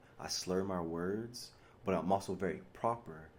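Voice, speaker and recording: A man with a very deep, low pitch and fairly even intonation, in audible room echo. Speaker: spiritual vlogger. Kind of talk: monologue. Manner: mumbles and slurs when relaxed, mixes slang with proper English.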